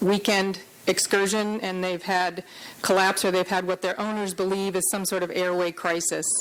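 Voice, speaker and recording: This woman's voice sits at a medium pitch, with flat, monotone intonation. Her pace is fairly quick. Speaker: veterinary surgeon. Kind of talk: conference lecture. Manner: fast.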